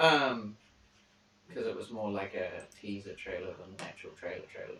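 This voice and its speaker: Here is a man with a New Zealand accent. He talks at a fairly quick pace. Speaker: streamer. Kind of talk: casual chat.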